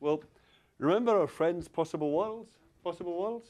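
A man in a Scottish accent. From Glasgow, Scotland. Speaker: university lecturer. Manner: conversational, checks in with the audience often.

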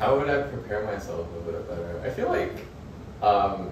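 A man is heard with audible room echo. Noticeable background noise is present too. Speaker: architecture graduate student, international student. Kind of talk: casual interview answer. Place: home room. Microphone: camera far.

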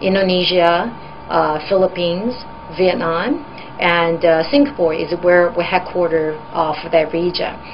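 A woman with a fairly low pitch speaks at a moderate pace with ordinary pitch variation over light background noise. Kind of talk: interview answer. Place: office.

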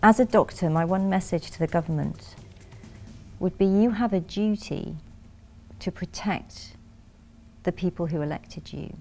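Faint music plays in the background as a woman talks at a moderate pace with ordinary pitch variation. Her loudness swings widely, and she makes long, frequent pauses. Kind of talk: interview answer. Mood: earnest, determined. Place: studio.

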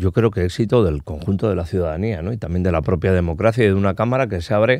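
A man speaks in a very deep, low pitch with a dark, mellow tone and ordinary pitch variation. The sound is dry with no echo, over a quiet background. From Basque Country, Spain. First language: Basque (speaking Spanish). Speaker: politician. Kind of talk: interview. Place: studio. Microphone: studio mic.

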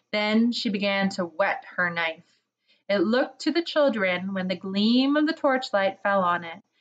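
Intonation is lively as someone reads aloud naturally. Nothing is heard in the quiet background.

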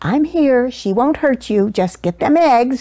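Soft-spoken and fairly slow, a woman uses a put-on character voice at a high pitch. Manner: soft, reassuring.

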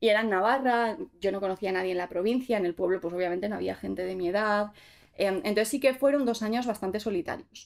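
A woman speaks at a very fast pace with ordinary pitch variation over a quiet background. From Basque Country (Gipuzkoa), Spain; Basque Country, Spain. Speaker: content creator; podcast guest. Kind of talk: casual interview chat; interview answer. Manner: hesitant, many fillers. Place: studio.

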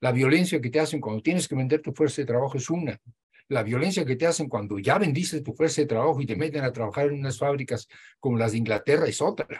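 A man talks at a very fast pace in a fairly high, somewhat breathy voice. His pitch shows ordinary variation. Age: 80s+. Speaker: professor and Marxist scholar; professor. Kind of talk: interview discussion, lecture-like explanation. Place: home room. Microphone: video call.

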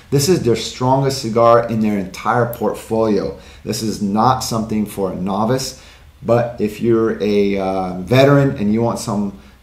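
Speech comes at a fairly slow pace with ordinary pitch variation. Audible room echo hangs around it. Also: man. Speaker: cigar channel host. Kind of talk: tutorial. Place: studio.

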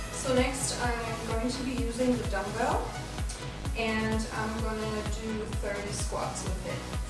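A woman speaks at a very slow pace with audible room echo. Loud music plays in the background. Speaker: presenter. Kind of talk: tutorial. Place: home room. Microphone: camera far.

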